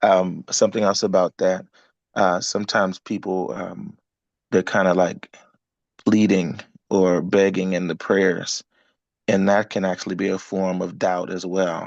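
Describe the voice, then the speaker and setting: A soft-spoken man with a very deep, low pitch talks at a fairly slow pace in a monotone, flat intonation, with long, frequent pauses and a dry, close sound with no echo. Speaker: business coach. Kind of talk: group coaching call.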